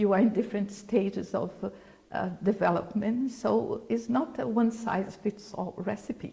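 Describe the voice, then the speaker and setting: In a Brazilian Portuguese accent, a woman speaks at a moderate pace with fairly even intonation. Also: medium pitch for a woman. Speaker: former UN official, creative economy expert. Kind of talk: interview.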